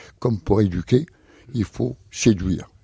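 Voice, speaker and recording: With vocal fry and a dark, mellow tone, a man talks at a moderate pace in a dry, close sound with no echo. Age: 70s. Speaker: circus artist and horse trainer. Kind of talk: radio interview answer.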